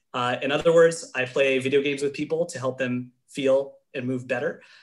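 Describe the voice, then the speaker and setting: This man speaks at a fairly quick pace in a fairly high pitch, his intonation monotone and flat. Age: 20s. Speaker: exercise and brain health specialist. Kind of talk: webinar presentation. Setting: webinar. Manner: fast.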